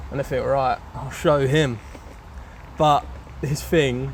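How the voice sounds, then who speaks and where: A man speaks with a London accent. Noticeable background noise and audible room echo surround him. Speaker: motorcycle reviewer. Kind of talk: casual video review. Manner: casual, hesitant with fillers.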